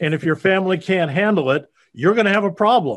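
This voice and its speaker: The speaker talks with lively intonation in an American accent. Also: man. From US Midwest, Iowa. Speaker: payroll business owner. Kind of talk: interview. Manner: halting, frequent uh fillers.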